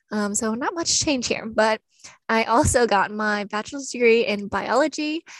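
A woman speaks at a fairly high pitch and a moderate pace, with ordinary pitch variation. She has an unremarkable speaking voice. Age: 20s. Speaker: podcast co-host, graduate student. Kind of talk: scripted podcast introduction.

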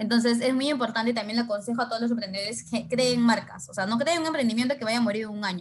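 Pitched fairly high, a woman speaks with ordinary pitch variation. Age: 20s. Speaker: entrepreneur. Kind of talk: interview.

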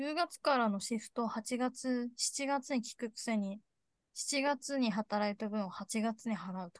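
A woman's high voice at a fairly slow pace, with ordinary pitch variation, big swings in loudness and a dry, close sound with no echo. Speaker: podcast co-host. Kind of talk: casual chat.

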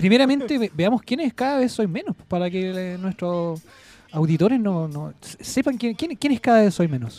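With a Chilean accent, a man speaks at a moderate pace in a high pitch and a dark, mellow tone, his pitch swinging very widely, the sound dry and close with no echo. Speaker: podcast co-host. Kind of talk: casual chat. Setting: studio.

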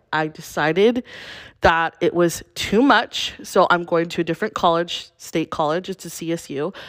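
Over a silent background in a very clean recording, a woman with a plain, everyday voice speaks at a moderate pace, her pitch fairly low with ordinary variation. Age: 20s. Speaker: podcaster. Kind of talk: casual solo podcast update. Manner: rambling, chatty.

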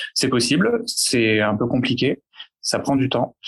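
This is a man talking at a moderate pace. His pitch sits in the middle range. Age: 20s. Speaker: psychiatrist. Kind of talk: panel discussion. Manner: halting.

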